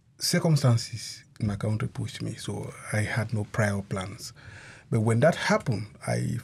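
A man's fairly low voice with vocal fry, at a moderate pace. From Cameroon. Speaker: asylee. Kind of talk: radio interview.

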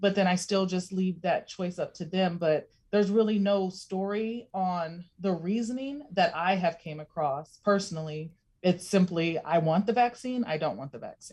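A somewhat breathy woman's voice at medium pitch, moderate pace and ordinary pitch variation. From Alaska, East Anchorage. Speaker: clinic community relations director. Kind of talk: radio interview. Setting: video call.

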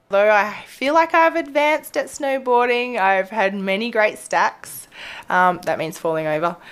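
At a fairly slow pace, a woman with an Australian accent speaks at a fairly high pitch with very wide pitch swings, in a very clean recording with a silent background. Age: 30s. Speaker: veterinarian. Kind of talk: casual interview. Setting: animal hospital treatment area.

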